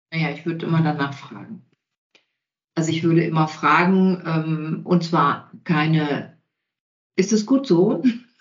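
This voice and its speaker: Speaking at a fairly slow pace with long, frequent pauses, a woman uses a fairly low pitch and ordinary pitch variation. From Bavaria (Allgäu). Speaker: communication coach and trainer. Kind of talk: interview conversation.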